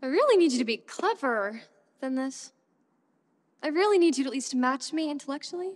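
A woman's high-pitched voice at a fairly quick pace, against a quiet background. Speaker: actor performing a monologue. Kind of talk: dramatic monologue. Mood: defiant, confessional. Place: stage.

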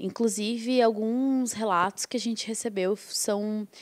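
This woman's fairly high voice shows ordinary pitch variation, with a quiet background behind it. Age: 20s. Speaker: activist, documentary participant; guest. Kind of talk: interview. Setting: studio. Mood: earnest, engaged. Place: studio. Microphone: handheld.

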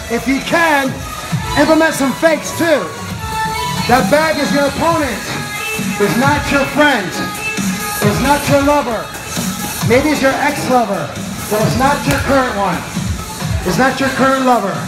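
Clear music plays in the background as a man speaks. He goes at a fairly slow pace with long, frequent pauses. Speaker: boxing class trainer. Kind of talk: coaching shouts and cues. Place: gym. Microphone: phone near.

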